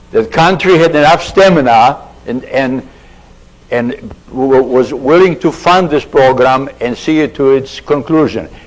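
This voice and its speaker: This man's voice sits fairly high. Its pitch rises and falls in a normal way. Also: fairly slow pace. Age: 60s. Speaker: aerospace engineer and committee member. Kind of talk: committee briefing. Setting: public hearing. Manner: halting.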